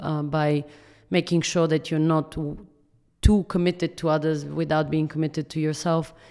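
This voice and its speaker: Very deep and low, a woman's voice has a dark, mellow tone. She speaks at a moderate pace with monotone, flat intonation. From Bulgaria. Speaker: startup founder and CEO. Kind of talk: interview. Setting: office.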